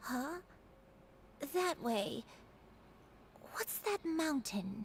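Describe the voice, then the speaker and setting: A woman's put-on character voice, high-pitched and gentle in tone, with very wide pitch swings, over clear background noise. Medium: video game. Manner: soft, slow, gentle.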